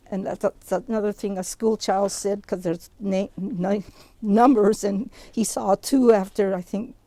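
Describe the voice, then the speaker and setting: With an American accent, a woman speaks at a moderate pace in a medium pitch, her tone dark and mellow and her intonation fairly even. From US Pacific Northwest, Bainbridge Island, Washington. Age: 80s+. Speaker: Japanese American internment survivor. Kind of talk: oral history talk. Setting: outdoors at a memorial site. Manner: conversational, some hesitations.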